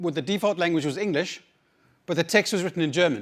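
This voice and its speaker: Someone with a South African accent speaks at a very fast pace with ordinary pitch variation, on a very clean recording with a silent background. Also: man. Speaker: conference speaker, researcher. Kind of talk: conference talk. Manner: halting, many repetitions and fillers.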